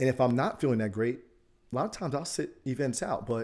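A man with an American accent speaks at a medium pitch and a fairly quick pace, his tone upbeat and animated with ordinary pitch variation. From US East Coast. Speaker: podcast host, real estate professional. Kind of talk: solo motivational podcast monologue. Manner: upbeat, animated, motivational.

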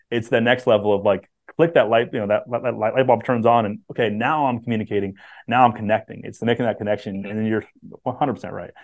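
Fairly quick delivery in a normal speaking voice, intonation fairly even throughout. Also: man, medium pitch for a man. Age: 30s. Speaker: HVAC sales coach. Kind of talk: interview.

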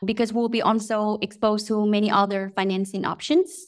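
Speaking at a moderate pace, a woman uses a fairly high pitch. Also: very clean recording, silent background. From Vietnam. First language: Vietnamese. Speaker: startup co-founder and COO. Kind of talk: interview.

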